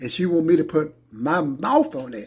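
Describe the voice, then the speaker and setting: The recording is very clean, with a silent background. In it, a man talks at a fairly high pitch. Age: 60s. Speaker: preacher. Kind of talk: testimony. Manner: halting.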